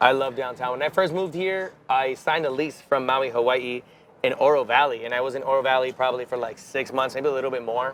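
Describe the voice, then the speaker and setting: Talking at a very fast pace, a man with a Spanish accent keeps a medium pitch. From Miami, Florida (Cuban-American). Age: 30s. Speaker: musician. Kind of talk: interview.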